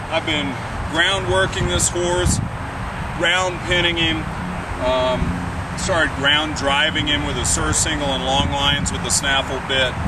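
Recorded dry with no echo, the speech moves at a fairly slow pace with ordinary pitch variation over loud background noise. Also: man. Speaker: horse trainer. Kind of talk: tutorial. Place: open country. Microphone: camera far.

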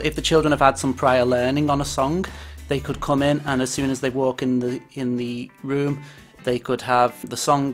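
Monotone, flat delivery from a man at a moderate pace, with faint music in the background. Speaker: music teacher presenting. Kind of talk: lecture. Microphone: webcam.

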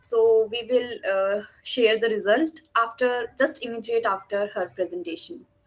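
A woman talks at a fairly slow pace with an Indian accent. Her pitch is fairly high. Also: ordinary pitch variation. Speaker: webinar moderator. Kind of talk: event moderation. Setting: video call. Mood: cheerful, warm. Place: home room.

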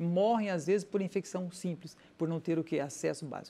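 A man's high-pitched voice with a dark, mellow tone, fairly even intonation and a fairly quick pace. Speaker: dentist and missionary. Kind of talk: interview. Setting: studio. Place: studio. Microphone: lapel.

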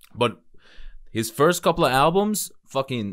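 Talking at a moderate pace, a man is heard with quiet surroundings. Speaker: music reaction streamer. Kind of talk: casual reaction commentary. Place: home room. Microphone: studio mic.

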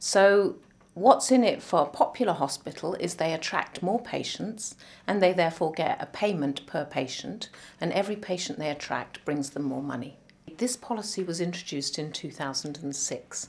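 A woman talks with a fairly low pitch. She keeps a moderate pace. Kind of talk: interview answer. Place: office.

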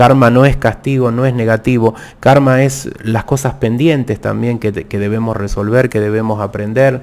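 In an ordinary speaking voice, a man talks at a moderate pace and medium pitch with fairly even intonation and hardly any pauses. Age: 50s. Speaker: tarot reader. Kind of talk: live stream tarot talk. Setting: live video stream. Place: home room. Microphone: studio mic.

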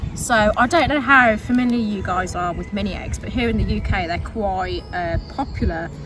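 Clear music plays in the background while a woman speaks at a moderate pace, the sound dry with no echo. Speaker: vlogger. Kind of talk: casual vlog chat. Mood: relaxed, delighted. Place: open country.

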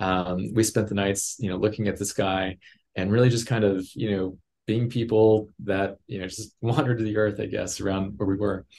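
A man with an American accent speaks in a normal speaking voice, fairly low in pitch, at a moderate pace with fairly even intonation. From West Texas. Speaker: aerospace engineer and executive; guest. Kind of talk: interview. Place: home room. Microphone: video call.

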